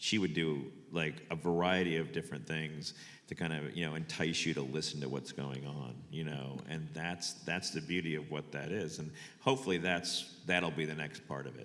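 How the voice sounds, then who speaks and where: At a moderate pace, the speaker shows vocal fry and ordinary pitch variation. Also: man, very deep, low pitch for a man. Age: 60s. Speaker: photographer. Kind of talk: panel talk. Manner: halting.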